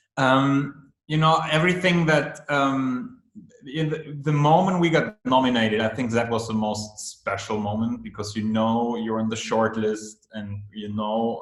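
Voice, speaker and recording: A man with a German accent speaks at a medium pitch and a fairly slow pace, with audible room echo. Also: ordinary pitch variation, hardly any pauses. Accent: German-speaking accent in English. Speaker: film director. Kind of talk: interview. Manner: halting, many fillers and repeats.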